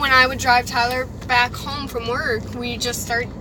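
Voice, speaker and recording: With noticeable background noise and audible room echo, a woman talks at a high pitch. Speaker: podcast co-host, channel owner. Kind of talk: casual chat. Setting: in a car, driving.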